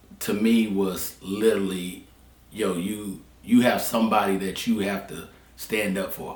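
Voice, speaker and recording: A man with a Southern US accent talks slowly-ish at a fairly low pitch, with monotone, flat intonation. Long, frequent pauses break his speech, and his loudness swings widely. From Charlotte, North Carolina. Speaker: barber. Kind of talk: interview answer.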